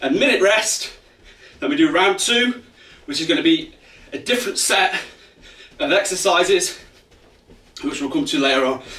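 A man speaks in a raised, projected voice. Room echo is audible. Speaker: fitness coach. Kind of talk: workout instruction. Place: home room. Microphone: camera far.

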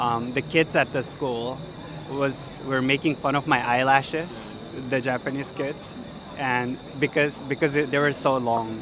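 Over noticeable background noise, a man speaks fairly slowly in a monotone, flat intonation, the sound dry with no echo. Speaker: street interviewee. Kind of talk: interview. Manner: halting. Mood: amused, reminiscing. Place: street. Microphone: handheld.

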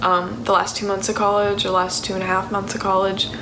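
A woman's voice is heard. Noticeable background noise is present. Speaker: vlogger. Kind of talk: casual vlog chat. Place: kitchen. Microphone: phone near.

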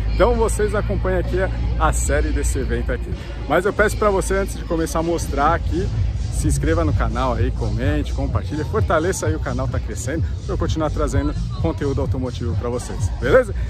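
A man with a very deep, low pitch talks very fast. Clear music plays behind his dry voice, which has no echo. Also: ordinary pitch variation. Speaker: car vlogger. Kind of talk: casual vlog chat. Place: open country. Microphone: phone near.

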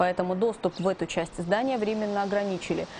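Noticeable background noise can be heard. Over it, the woman talks at a medium pitch. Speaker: news presenter. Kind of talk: news reading.

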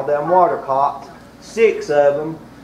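Light background noise and audible room echo accompany a man as he talks. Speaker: preacher. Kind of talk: sermon. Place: church.

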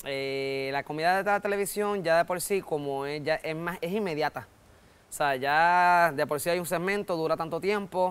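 With a Puerto Rican accent, a man speaks at a high pitch and a moderate pace, using ordinary pitch variation. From Puerto Rico. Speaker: comedian. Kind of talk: interview. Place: studio. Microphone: lapel.

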